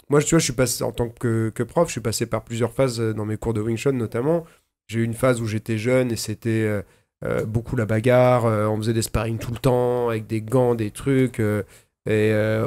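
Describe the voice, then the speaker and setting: With faint music in the background, a man talks at medium pitch with fairly even intonation. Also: moderate pace. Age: 40s. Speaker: podcast host; podcast host, martial arts teacher. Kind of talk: casual chat. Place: studio. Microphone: studio mic.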